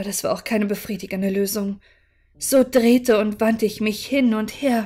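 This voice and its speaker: The tone is dark and mellow, somewhat breathy. Intonation stays fairly even at a moderate pace. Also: woman. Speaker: audiobook narrator / livestreamer. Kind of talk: dramatic narration, reading aloud a horror story. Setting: live stream. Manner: calm, soothing, measured pace. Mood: calm, relaxing narration. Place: home room.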